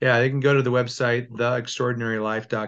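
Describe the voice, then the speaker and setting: The speaker is a man with an American accent and a medium-pitched voice. His delivery is monotone and flat, at a fairly quick pace. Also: quiet background. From Southern California (Temecula area). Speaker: success coach and former arena football player. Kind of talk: casual interview chat.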